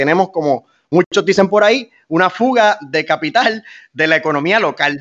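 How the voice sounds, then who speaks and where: A man with a high pitch, lively intonation and a Puerto Rican accent. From Puerto Rico, Fajardo. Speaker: mayoral candidate, military veteran. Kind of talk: interview.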